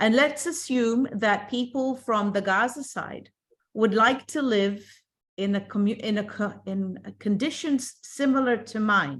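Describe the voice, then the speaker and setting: Somewhat breathy and fairly slow, the voice has ordinary pitch variation on a very clean recording with a silent background. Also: woman, fairly high pitch for a woman. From Israel. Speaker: simulation participant. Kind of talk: heated debate. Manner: animated.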